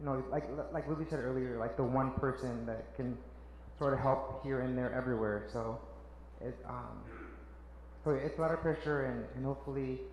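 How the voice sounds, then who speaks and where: With long, frequent pauses and audible room echo, a man speaks in a Spanish accent at a moderate pace. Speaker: social worker. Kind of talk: panel talk. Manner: halting.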